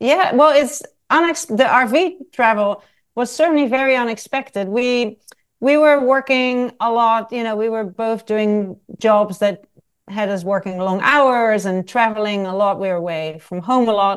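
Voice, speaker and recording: With a Dutch accent, a woman talks at a moderate pace, using a fairly high pitch and lively intonation. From Netherlands. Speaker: travel writer and photographer. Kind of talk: interview.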